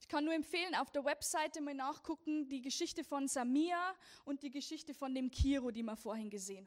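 The speaker has a Lower Bavarian accent. The pace is fairly quick. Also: woman, ordinary pitch variation, big swings in loudness. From Lower Bavaria, Germany. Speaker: persecution ministry speaker. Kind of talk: church talk. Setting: church service.

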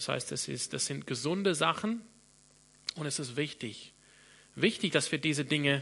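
Vocal fry and lively intonation in an English accent, at a moderate pace. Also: man. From Australia, Sydney. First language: English (speaking German). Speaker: pastor. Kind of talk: sermon.

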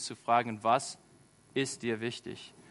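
The speaker is a man with an American accent. His pitch is medium. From rural USA. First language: English (speaking German). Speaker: charity volunteer ambassador, school aide. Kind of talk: sermon. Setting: church. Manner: halting, many fillers.

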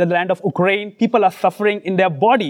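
Pitched high for a man, his voice runs at a fairly quick pace with fairly even intonation. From India, Mumbai. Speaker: preacher. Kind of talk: sermon. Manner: halting, pausing for interpreter.

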